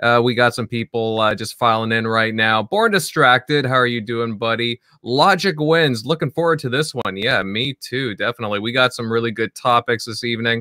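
A man with a plain, everyday voice, medium pitch and a moderate pace. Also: ordinary pitch variation. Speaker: podcast host. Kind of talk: casual panel chat about gaming news.

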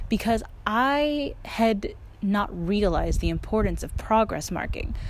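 Somewhat breathy, animated woman's voice at medium pitch, with very wide pitch swings, a fairly slow pace and audible room echo. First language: not Korean; learner of Korean. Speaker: podcast host, language learner. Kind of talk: casual solo podcast talk. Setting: outdoors.

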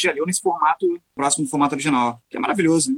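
Here a man with a high pitch speaks at a very fast pace. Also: dry, close sound with no echo. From Rio de Janeiro, Brazil. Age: 40s. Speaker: guitarist. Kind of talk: casual chat. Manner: halting, repeats words.

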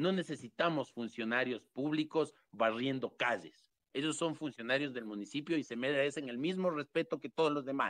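A man with an unremarkable speaking voice talks at a moderate pace with hardly any pauses, in a dry, close sound with no echo. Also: fairly high pitch for a man, ordinary pitch variation. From Quito, Ecuador. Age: 30s. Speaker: mayoral hopeful. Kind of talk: political interview. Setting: online audio room.

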